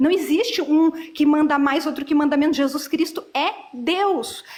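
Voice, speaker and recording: This woman has a high-pitched voice with ordinary pitch variation. She talks at a fairly slow pace. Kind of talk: heated debate.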